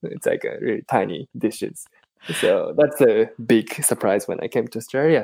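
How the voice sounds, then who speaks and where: A man with a Japanese accent at a moderate pace. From Japan, Tokyo. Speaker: podcast host. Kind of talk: casual interview. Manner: halting, many fillers.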